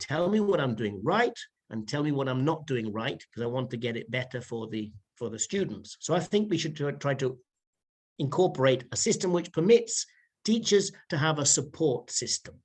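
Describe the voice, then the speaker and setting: A man with a British accent speaks at a moderate pace in a fairly high, somewhat breathy voice. His pitch swings very widely. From United Kingdom. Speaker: private teacher. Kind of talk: interview answer.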